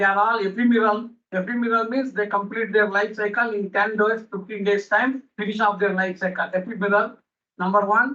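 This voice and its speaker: A man speaks in a raised, projected voice with a high pitch. His tone is bright and sharp, and his intonation stays flat and monotone. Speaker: botany professor. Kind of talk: conference lecture. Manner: fast.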